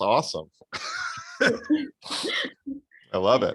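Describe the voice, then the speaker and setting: A man speaks with an American accent. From Florida, US. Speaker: math tutor. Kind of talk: tutoring session.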